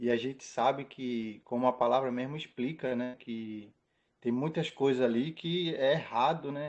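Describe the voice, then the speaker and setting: The man's pitch is medium and his intonation fairly even. He speaks at a fairly slow pace. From Brazil, Pernambuco (Recife). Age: 30s. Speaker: church member. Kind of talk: testimony. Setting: live stream. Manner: halting.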